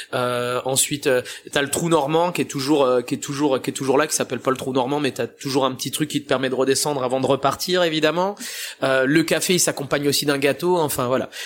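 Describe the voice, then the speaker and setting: This is an unremarkable speaking voice. Its intonation is fairly even. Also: man. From France, Italian family. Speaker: pizza chef. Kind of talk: interview. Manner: casual.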